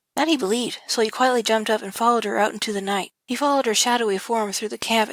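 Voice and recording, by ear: A natural voice, reading aloud.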